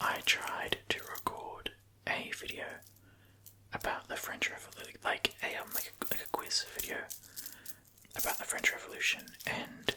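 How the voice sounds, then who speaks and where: Whispering at a moderate pace with long, frequent pauses, over noticeable background noise. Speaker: ASMR creator. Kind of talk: whispered ASMR ramble; casual talk to camera. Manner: whispered.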